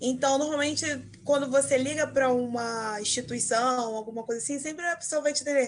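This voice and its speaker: A woman with a Carioca accent. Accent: carioca Brazilian Portuguese. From Rio de Janeiro, Zona Norte. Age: 20s. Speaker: marketing entrepreneur. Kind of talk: interview.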